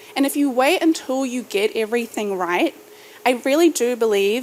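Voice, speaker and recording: With a New Zealand accent, a woman talks at a moderate pace. Her pitch is high and her intonation lively. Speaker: startup founder and podcaster. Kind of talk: keynote speech. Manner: rising inflection at sentence ends.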